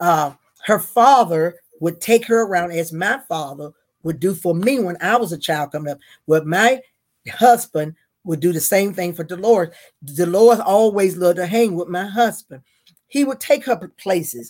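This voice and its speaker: A woman speaks in a Southern US accent with a fairly low pitch. Her pace is moderate and her intonation lively. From North Carolina. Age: 70s. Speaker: retired school worker. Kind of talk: casual interview.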